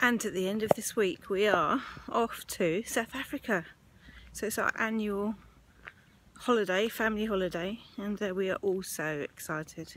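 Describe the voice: A woman speaks at a medium pitch and a moderate pace. Her pitch varies in an ordinary way.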